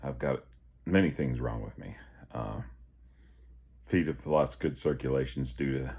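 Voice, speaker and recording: Using a very deep, low pitch with fairly even intonation, a man speaks with vocal fry. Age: 50s. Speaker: health vlogger. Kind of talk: casual vlog. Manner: halting.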